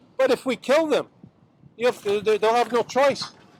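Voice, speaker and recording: The speech moves at a moderate pace with lively intonation. The sound is dry and close with no echo, over noticeable background noise. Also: man. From Montreal, Quebec. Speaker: doctor. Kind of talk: rally speech. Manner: halting.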